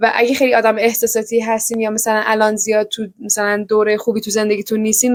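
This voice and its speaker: A woman talks at a fairly quick pace in an animated tone, her pitch fairly high. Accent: Iranian. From Iran. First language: Persian. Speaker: book vlogger. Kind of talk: casual book review vlog. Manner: fast.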